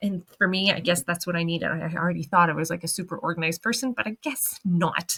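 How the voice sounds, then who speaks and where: In a dry, close sound with no echo, a woman with a fairly low pitch speaks at a very fast pace with hardly any pauses and ordinary pitch variation. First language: French. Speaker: online business coach. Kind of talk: casual impromptu vlog monologue. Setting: sitting at her desk. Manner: halting, many fillers.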